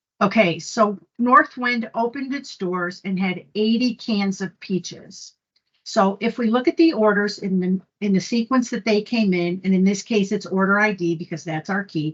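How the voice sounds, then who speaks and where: The voice is somewhat breathy, at a moderate pace with ordinary pitch variation. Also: woman. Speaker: conference presenter. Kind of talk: technical presentation.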